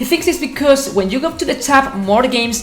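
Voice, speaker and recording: Over noticeable background noise and audible room echo, a woman with a non-native accent speaks at a moderate pace with very wide pitch swings. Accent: non-native English pronunciation. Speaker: gaming YouTuber. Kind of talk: casual commentary video.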